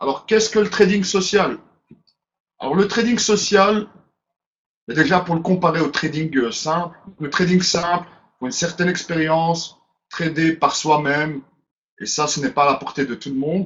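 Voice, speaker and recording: A man with a high pitch and ordinary pitch variation talks at a moderate pace, his loudness swinging widely between long, frequent pauses. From Belgium, Brussels. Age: 30s. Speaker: webinar presenter. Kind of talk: webinar presentation. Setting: online webinar.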